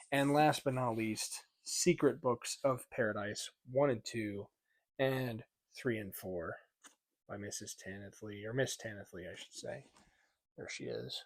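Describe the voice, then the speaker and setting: A man at medium pitch, at a fairly slow pace with long, frequent pauses. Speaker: book reviewer. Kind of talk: casual book haul vlog. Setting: at home at night. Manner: monotone; quiet.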